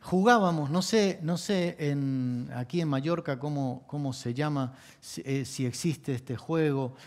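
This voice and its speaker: This man has an Argentine accent and a fairly high pitch, and he talks at a fairly slow pace with ordinary pitch variation. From Argentina. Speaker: pastor. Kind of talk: sermon.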